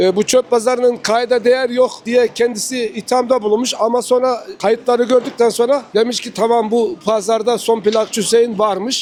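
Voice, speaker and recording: A man's extremely high voice, flat and monotone, at a moderate pace with hardly any pauses, over noticeable background noise. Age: 60s. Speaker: record seller. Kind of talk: casual interview at market stall. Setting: outdoor antique market.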